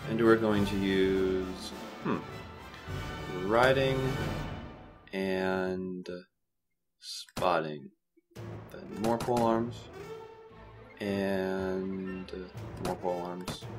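The speech is mumbled at a very slow pace with long, frequent pauses. Clear music plays in the background. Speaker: game commentator. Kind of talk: video game let's play commentary. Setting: home recording with microphone. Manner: mumbling, exhaling into the mic.

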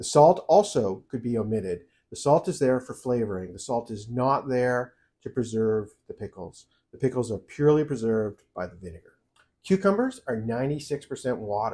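A man speaks with a dark, mellow tone and big swings in loudness. The background is quiet. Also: moderate pace. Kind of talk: tutorial. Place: kitchen.

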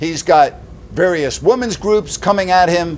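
A man with a high pitch for a male speaks at a fairly slow pace with lively intonation. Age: 60s. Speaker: sports talk host; commentator. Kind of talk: indignant opinion rant delivered straight to camera; opinion rant commentary. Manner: punchy, loud, mocking rhetorical questions; sarcastic, exasperated and emphatic, building to outraged disbelief. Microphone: phone near.

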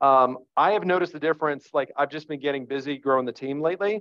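Fairly quick and in an American accent, a man talks at a fairly high pitch with ordinary pitch variation. The sound is dry with no echo, over a quiet background. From northern New Jersey. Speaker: real estate agent; presenter. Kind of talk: training presentation. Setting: video call. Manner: animated. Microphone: webcam.

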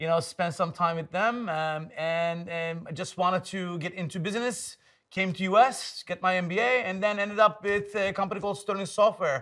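Against a quiet background, a man with a Turkish accent talks at a moderate pace in a high pitch with ordinary pitch variation. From Turkey, Istanbul. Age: 50s. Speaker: tech executive and investor. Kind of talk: casual interview. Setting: in-person recording in San Francisco. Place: studio. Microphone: lapel.

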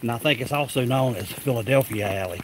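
A man in a dry sound with no echo, over light background noise. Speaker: vlogger on a night walk. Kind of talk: casual vlog chat. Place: street. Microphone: phone near.

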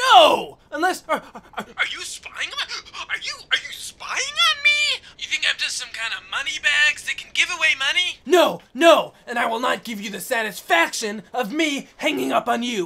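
A high-pitched voice shouts at a moderate pace. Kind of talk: comic overacting. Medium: machinima. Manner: shouting, paranoid, escalating rant.

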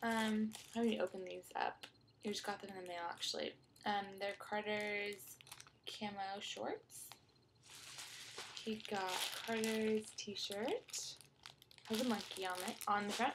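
Soft-spoken, a woman talks at a fairly slow pace with long, frequent pauses and flat, monotone intonation. Background noise is noticeable. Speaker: vlogger mom. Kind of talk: casual vlog haul. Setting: child's playroom at home. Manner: soft-spoken, talking quietly. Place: home room. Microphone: webcam.

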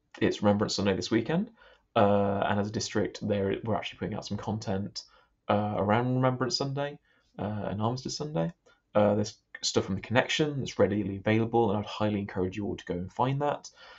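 Against a quiet background, a man talks in a fairly low voice with ordinary pitch variation. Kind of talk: casual spoken reflection before prayers. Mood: thoughtful, hesitant. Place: home room. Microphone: webcam.

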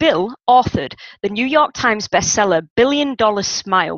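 A woman speaks at a moderate pace over a quiet background. The sound is dry, with no echo. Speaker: interviewer host. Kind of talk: interview introduction. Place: home room. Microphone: headset.

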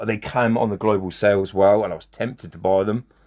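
A man with a British accent and fairly low pitch, on a very clean recording with a silent background. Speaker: gaming youtuber. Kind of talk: gameplay commentary. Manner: animated.

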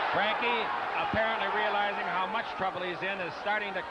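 Loud background noise fills the clip. Over it, a man talks at a fairly quick pace. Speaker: boxing commentator. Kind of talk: live boxing commentary, play-by-play. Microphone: headset.

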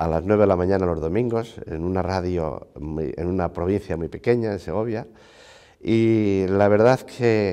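With ordinary pitch variation, a man speaks at a fairly slow pace, the background quiet. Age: 60s. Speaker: university rector and priest; priest. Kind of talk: TV interview; interview answer. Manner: hesitant, frequent fillers. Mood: warm, reflective, smiling. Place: hall. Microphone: lapel.

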